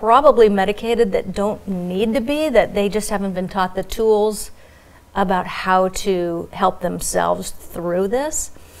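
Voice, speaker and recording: A woman speaks at a moderate pace with a medium pitch. Her intonation is lively. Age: 60s. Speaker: hypnotherapist and former soap opera actress. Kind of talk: live talk show interview. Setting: TV studio. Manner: animated.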